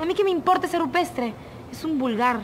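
Light background noise sits behind a woman talking at a fairly quick pace. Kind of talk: scripted drama dialogue. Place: street.

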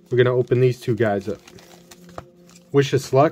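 There is noticeable background noise. A man talks with ordinary pitch variation. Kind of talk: casual commentary. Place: home room.

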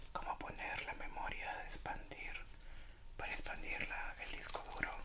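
A relaxed whisper at a fairly slow pace. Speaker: ASMR unboxing creator. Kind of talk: ASMR unboxing, relaxed casual talk. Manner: soft, relaxed. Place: home room.

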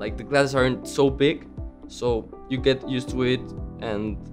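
Clear music plays in the background as a man with a Mexican accent talks at a fairly slow pace. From Mexico City. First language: Spanish. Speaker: college student. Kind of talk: interview answer. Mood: calm, sincere. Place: classroom.

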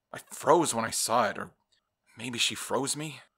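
On a very clean recording with a silent background, a man speaks in a bright, sharp, dramatic, calm tone with ordinary pitch variation. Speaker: horror story narrator. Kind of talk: horror story narration, scripted and read aloud in a hushed, eerie tone. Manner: dramatic, shifting between calm storyteller and haunted dead man.

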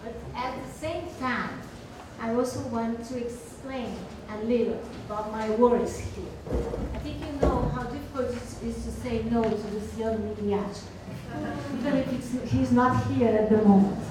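Over noticeable background noise and audible room echo, a woman speaks at a fairly slow pace with fairly even intonation. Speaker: conference speaker. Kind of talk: lecture. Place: hall.

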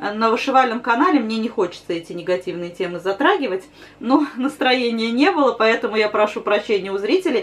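With very wide pitch swings, a woman talks at a fairly quick pace. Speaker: embroidery channel host. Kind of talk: casual vlog chat. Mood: slightly rueful then cheerful. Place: home room. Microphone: camera far.

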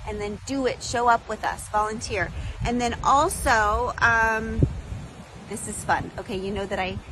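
Over noticeable background noise, a woman talks at a fairly slow pace in a dry sound with no echo. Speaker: podcast host making an appeal. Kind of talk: casual vlog chat. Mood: warm, grateful, upbeat. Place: garden. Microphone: phone near.

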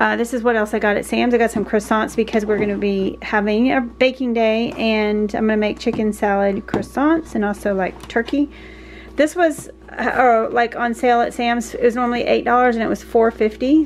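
A woman speaks at a fairly quick pace with ordinary pitch variation, light background noise behind her. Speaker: vlogger. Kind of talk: casual vlog chat. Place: kitchen. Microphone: phone near.

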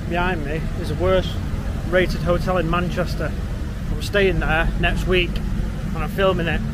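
A man speaks in a dry sound with no echo. Loud background noise is present. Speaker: travel vlogger. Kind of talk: casual vlog chat. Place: street. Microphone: phone near.

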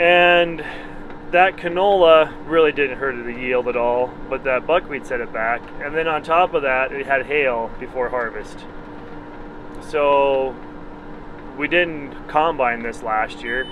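Noticeable noise hums in the background of a dry recording that has no echo. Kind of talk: casual vlog commentary. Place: farm machine. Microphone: phone near.

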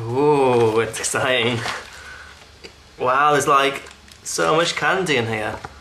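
Very slow speech broken by long, frequent pauses, with noticeable background noise. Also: man, medium pitch for a man, ordinary pitch variation. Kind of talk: casual unboxing talk to camera.

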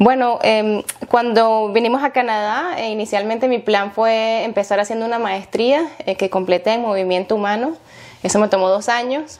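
A woman at a fairly high pitch, moderate pace and ordinary pitch variation. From Venezuela, Maracay; Venezuela. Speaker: physiotherapist; guest. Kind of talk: interview. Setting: at her home. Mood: warm, smiling, proud. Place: home room.

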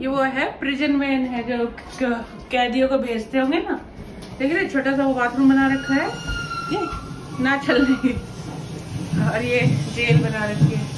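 Fairly slow delivery with long, frequent pauses over noticeable background noise. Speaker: family vlogger filming. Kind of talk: casual vlog chat. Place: hall. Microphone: phone near.

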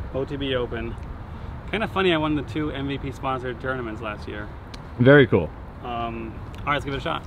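A man at a fairly quick pace, dry sound with no echo, noticeable background noise throughout. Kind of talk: casual vlog chat. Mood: cheerful, joking. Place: open country.

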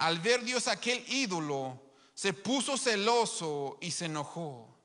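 A man uses a raised, projected voice at a very slow pace over a quiet background. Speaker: preacher. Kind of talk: sermon. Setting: live stream to an online congregation. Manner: emphatic, repeating key phrases. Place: church. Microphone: handheld.

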